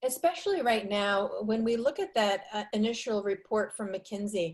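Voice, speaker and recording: A fairly high-pitched woman's voice with an American accent. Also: ordinary pitch variation, moderate pace. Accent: New York accent, slips out now and then. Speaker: marketing presenter. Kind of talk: webinar Q&A.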